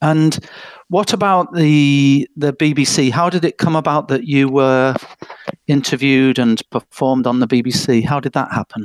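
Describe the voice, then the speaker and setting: With an English accent, a man speaks fairly slowly at a fairly high pitch, with ordinary pitch variation, very even loudness and a dry, close sound with no echo. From England. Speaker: music presenter. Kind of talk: casual chat.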